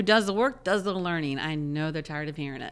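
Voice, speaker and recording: With an American accent, a woman speaks at a fairly low pitch with lively intonation. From North Carolina, taught English by German grandmother. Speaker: salon franchise area coach and trainer. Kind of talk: podcast interview.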